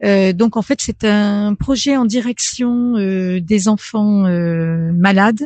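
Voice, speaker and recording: A woman of medium pitch speaks at a very slow pace, somewhat breathy, with a dark, mellow tone and ordinary pitch variation. The sound is dry and close with no echo, over a quiet background. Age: 60s. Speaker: French as a foreign language trainer. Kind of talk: radio interview. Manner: halting, many hesitations.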